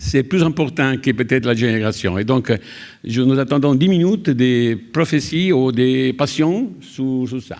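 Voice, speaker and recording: A man's medium-pitched voice has lively intonation, though his pace is very slow. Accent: Italian. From Italy. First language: Italian (speaking French). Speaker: conference session coordinator. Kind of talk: conference moderation speech. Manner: halting, many hesitations.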